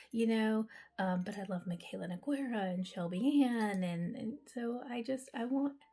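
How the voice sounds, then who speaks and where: Somewhat breathy and dark, mellow in tone, a woman speaks at a fairly high pitch and moderate pace with ordinary pitch variation. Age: 40s. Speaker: mental health counselor and beauty vlogger. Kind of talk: casual vlog while doing skincare. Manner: chatty, with frequent um fillers.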